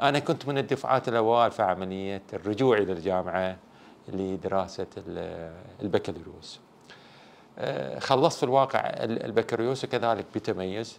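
A man with a Bahraini accent, his fairly low pitch and lively intonation set at a moderate pace. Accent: Bahraini Gulf Arabic. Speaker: sports educator. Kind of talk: interview. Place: studio. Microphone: lapel.

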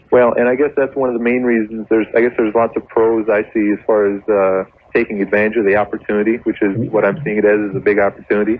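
This man has a fairly low pitch and fairly even intonation, talking at a very fast pace. Noticeable background noise runs behind him. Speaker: business professional. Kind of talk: phone-in call. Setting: phone call.

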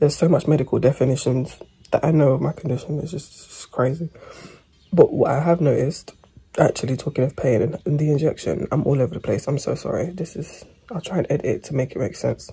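A woman speaks very fast in a very deep, low voice with a dark, mellow tone. Her pitch moves in an ordinary way, and her delivery is somewhat breathy. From England. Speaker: vlogger with endometriosis. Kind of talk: casual vlog chat. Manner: rambling, chatty. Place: home room. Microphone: phone near.

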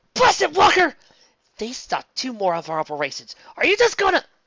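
In a put-on character voice, a man growls at an extremely high pitch, projecting loudly at a fairly quick pace. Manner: growling, angry.

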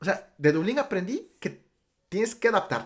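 With a quiet background, the voice moves at a fairly quick pace through very wide pitch swings. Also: man. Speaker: podcast host. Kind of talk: casual interview chat. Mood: cheerful, smiling. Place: home room. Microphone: studio mic.

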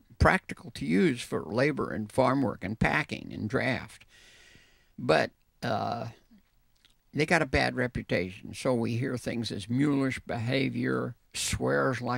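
In a dry sound with no echo and a quiet background, a man speaks at a fairly slow pace with vocal fry and long, frequent pauses. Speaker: guest. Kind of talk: interview answer. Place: hall. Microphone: handheld.

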